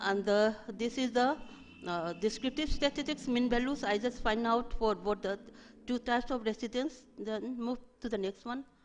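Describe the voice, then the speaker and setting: A woman's high voice with fairly even intonation. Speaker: research presenter. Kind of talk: academic presentation. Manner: fast; halting.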